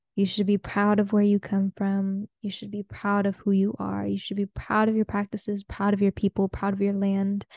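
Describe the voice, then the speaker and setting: Somewhat breathy and medium-pitched, a woman speaks in a dry, close sound with no echo against a quiet background. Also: hardly any pauses. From Peruvian family, raised mostly outside Peru. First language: Spanish. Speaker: podcast host. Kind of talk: casual solo monologue.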